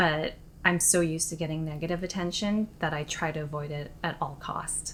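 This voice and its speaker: A soft-spoken woman's very deep, low voice with fairly even intonation. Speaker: vlogger. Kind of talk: personal confessional vlog.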